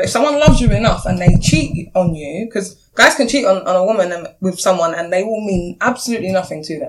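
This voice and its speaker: At a fairly quick pace, a woman uses a normal speaking voice of medium pitch with lively intonation. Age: 30s. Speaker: single dating panelist. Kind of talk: casual chat.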